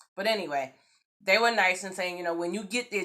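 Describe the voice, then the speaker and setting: A woman with a slight New York accent talks at a very fast pace. Her medium-pitched voice is animated, with ordinary pitch variation. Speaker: YouTube vlogger. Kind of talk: storytime vlog. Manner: casual.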